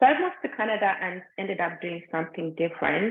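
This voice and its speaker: Speaking in a Ugandan accent, a woman keeps a medium pitch. Her pace is very fast. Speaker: meditation guide. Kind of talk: personal story in live group session. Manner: conversational, with many fillers.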